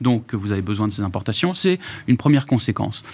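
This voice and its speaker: A man is talking. The recording is very clean and the background silent. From Germany. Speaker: former minister, lawyer. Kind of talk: panel discussion.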